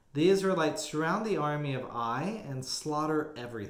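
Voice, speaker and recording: A man's fairly high-pitched voice in an American accent, with lively intonation, a moderate pace and audible room echo. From Texas. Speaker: Bible study teacher. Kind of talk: Bible study teaching. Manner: casual with many filler words.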